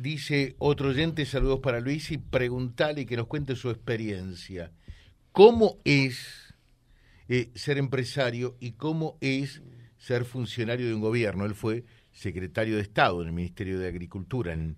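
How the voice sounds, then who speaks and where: A plain, everyday voice from a man at medium pitch, with lively intonation and a fairly slow pace. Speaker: radio host. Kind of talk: radio interview.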